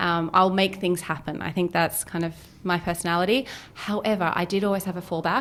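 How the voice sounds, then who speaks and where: Talking at a fairly quick pace, a woman with a slight Australian accent has a fairly low pitch and fairly even intonation. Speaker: business founder and CEO. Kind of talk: podcast interview.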